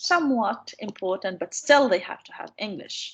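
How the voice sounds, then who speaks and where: This woman speaks with an Arabic accent at a moderate pace. Her pitch swings very widely. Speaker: university lecturer on English teaching. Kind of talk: online lecture.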